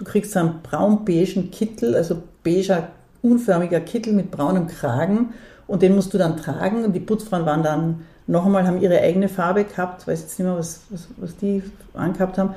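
A woman's somewhat breathy voice at a medium pitch, with ordinary pitch variation, carries through the clip. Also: moderate pace. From Austria, Vorarlberg (Dornbirn). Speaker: theatre director and feminist activist. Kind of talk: interview. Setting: at her home.

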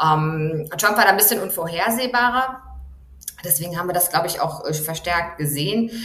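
A woman's fairly low voice at a moderate pace, with ordinary pitch variation and audible room echo. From Germany. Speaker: journalist, foreign correspondent. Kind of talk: interview.

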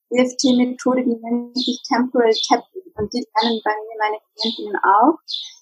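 Against music in the background, a woman with a high pitch speaks at a fairly slow pace in a dry, close sound with no echo. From Bavaria, Germany. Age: 30s. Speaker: psychologist and life coach. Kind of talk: casual interview.

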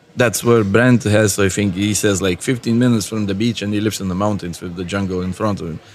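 A man with a Lithuanian accent rattles along at a very fast pace with hardly any pauses, his fairly low pitch held in fairly even intonation. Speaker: tattoo artist. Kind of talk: casual interview chat. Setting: tattoo convention.

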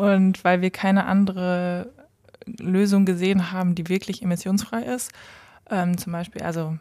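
A woman's tone is dark and mellow. She keeps a moderate pace with monotone, flat intonation. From Westphalia, Germany (Lemgo). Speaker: startup founder. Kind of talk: interview. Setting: company office.

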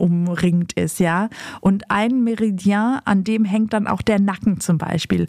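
A woman in an ordinary speaking voice, medium in pitch, fairly slow and with fairly even intonation. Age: 50s. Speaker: podcast host and author. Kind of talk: casual chat.

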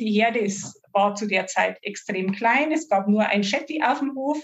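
Her voice is fairly high and somewhat breathy, and this woman talks at a fairly slow pace. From Upper Palatinate, Bavaria. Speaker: horse owner, client. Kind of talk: interview.

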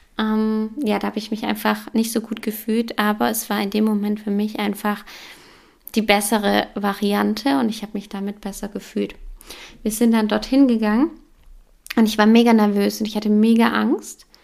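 A woman's fairly high voice at a moderate pace, in a flat monotone. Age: 30s. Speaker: yoga teacher and podcast host. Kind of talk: personal testimony monologue.

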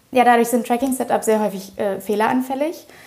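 Speech rushes by at a very fast pace with fairly even intonation. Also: woman. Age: 20s. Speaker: startup co-founder. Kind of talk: interview.

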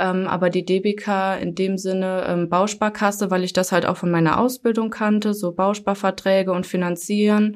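At a moderate pace and with hardly any pauses, a woman talks in a monotone with flat intonation on a very clean recording with a silent background. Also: medium pitch for a woman. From Germany, Hunsrück. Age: 20s. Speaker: call center customer service employee. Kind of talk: casual interview. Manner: hesitant, many fillers.

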